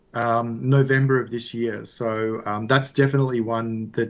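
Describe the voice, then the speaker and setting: In an Australian accent, a man with a medium pitch speaks at a moderate pace with fairly even intonation. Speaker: whisky distillery founder. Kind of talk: interview.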